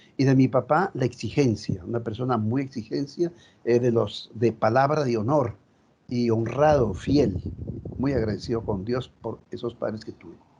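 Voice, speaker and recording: Somewhat breathy man's voice, dark and mellow, with big swings in loudness and ordinary pitch variation. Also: medium pitch for a man, moderate pace. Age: 70s. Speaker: Jesuit priest, retreat house director. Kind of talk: group sharing, personal testimony.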